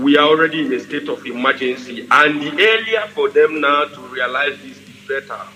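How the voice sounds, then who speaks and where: With hardly any pauses, a man with a Nigerian accent talks at a moderate pace and fairly high pitch, with lively intonation, big swings in loudness and noticeable background noise. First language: Igbo. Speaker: radio broadcaster. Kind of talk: political broadcast. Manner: halting; forceful.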